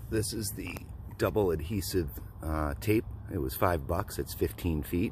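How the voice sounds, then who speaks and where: This man's pitch is very deep and low, with vocal fry. His intonation is lively. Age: 40s. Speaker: skateboarder. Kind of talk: tutorial. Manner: casual, hesitant with fillers.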